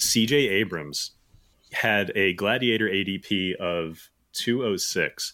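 The recording is very clean, and the background is silent. His tone comes across bright and sharp as the man talks. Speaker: fantasy baseball analyst. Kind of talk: casual chat. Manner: halting.

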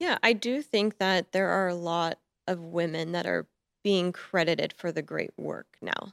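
With an American accent and a plain, everyday voice, the speaker goes at a fairly slow pace with ordinary pitch variation, in a dry, close, echo-free recording with a silent background. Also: woman, fairly low pitch for a woman. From US, Montana. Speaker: fashion photographer. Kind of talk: interview. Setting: studio.

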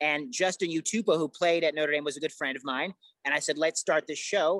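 Dry and close with no echo, a man with an American accent speaks at a high pitch in a bright, sharp tone. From Chicago area (Oak Park). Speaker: sports podcast host. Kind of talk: casual interview chat. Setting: casino sportsbook in Las Vegas. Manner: animated, repeats words.

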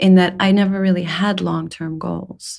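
At a moderate pace, a woman of medium pitch speaks in a somewhat breathy voice. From Saudi Arabia. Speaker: storyteller and poet. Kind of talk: casual interview. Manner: hesitant, reflective.

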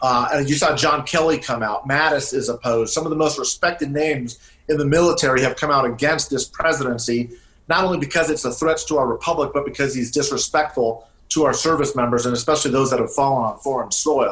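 This man speaks at a very fast pace. His intonation is fairly even and his loudness very even. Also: fairly high pitch for a man. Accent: American. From California. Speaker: political operative. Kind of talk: interview.

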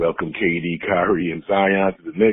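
A man talks in a flat, monotone way. His pitch is very deep and low. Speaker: listener caller. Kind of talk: voicemail message. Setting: phone voicemail.

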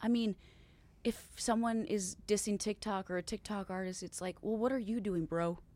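A woman with a fairly high pitch and a dark, mellow tone speaks at a moderate pace, with ordinary pitch variation. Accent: Upper Midwest. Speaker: country singer. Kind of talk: casual chat.

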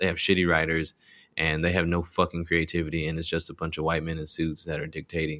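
In an American accent, a man with a very deep, low pitch and a bright, sharp tone speaks at a fairly quick pace with vocal fry and fairly even intonation on a very clean recording with a silent background. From rural Texas. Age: 20s. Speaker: stand-up comedian. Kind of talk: casual chat.

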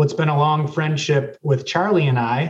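A man's fairly high-pitched delivery at a moderate pace, in an ordinary speaking voice. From Racine, Wisconsin. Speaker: W Club board member, former college athlete. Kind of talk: casual interview.

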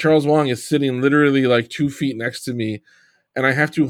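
A man with an American accent speaks at medium pitch and a moderate pace with fairly even intonation. He has an unremarkable speaking voice, on a very clean recording with a silent background. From New York, Long Island. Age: 40s. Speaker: sports podcast host. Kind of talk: casual chat.

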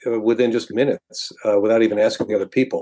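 With an American accent, a man speaks in a dark, mellow tone. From Binghamton, New York. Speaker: sports writer. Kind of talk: interview.

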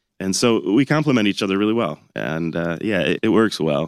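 Speaking at a moderate pace with ordinary pitch variation, a man in an American accent is heard in a dry, close sound with no echo on a very clean recording with a silent background. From Michigan, Ann Arbor. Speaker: winery CEO and winemaker. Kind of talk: interview.

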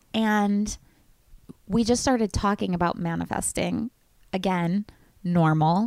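Fairly slow delivery with long, frequent pauses and ordinary pitch variation. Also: woman, medium pitch for a woman. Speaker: podcast host. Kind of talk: casual chat.

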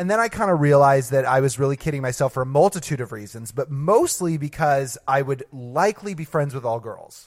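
With hardly any pauses, a man speaks at a fairly high pitch with lively intonation. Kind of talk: casual chat. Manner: talks a lot.

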